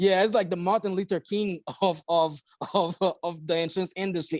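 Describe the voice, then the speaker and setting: In a Haitian accent, a man talks at a moderate pace and a high pitch, recorded very cleanly against a silent background with a dry, close sound and no echo. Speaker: insurance agency owner. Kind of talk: podcast interview.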